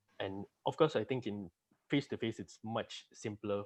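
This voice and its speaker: Against a quiet background, a man talks in a soft-spoken way. His pitch sits fairly low. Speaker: junior auditor, accounting graduate. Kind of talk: interview.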